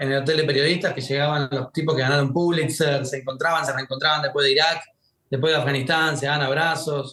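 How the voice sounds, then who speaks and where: A man with a Rioplatense accent speaks at a very fast pace. His fairly high voice stays monotone and flat. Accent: Argentine Rioplatense Spanish. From Argentina. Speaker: war journalist. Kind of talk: podcast interview.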